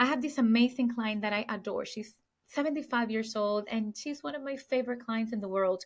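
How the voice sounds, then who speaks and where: A woman with a Puerto Rican accent talks at a high pitch. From Puerto Rico. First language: Spanish. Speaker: luxury real estate sales agent. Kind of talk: podcast interview.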